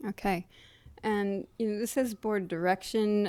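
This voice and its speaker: With a dark, mellow tone, a woman talks at a moderate pace. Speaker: board member. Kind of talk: public meeting. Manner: halting.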